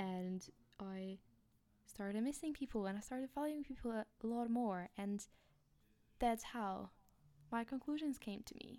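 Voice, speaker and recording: Speaking with a Polish accent at a fairly high pitch, a woman has a dark, mellow tone, a fairly slow pace with long, frequent pauses, and ordinary pitch variation. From Poland. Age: 20s. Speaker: student podcaster. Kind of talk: casual monologue, audio diary. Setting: home recording, room with echo. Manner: halting, with fillers and laughs.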